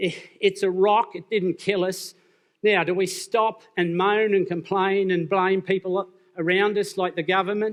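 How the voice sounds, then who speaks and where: In an Australian accent, a man with a high pitch talks at a fairly slow pace in a monotone, flat intonation. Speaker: business speaker. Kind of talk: conference talk.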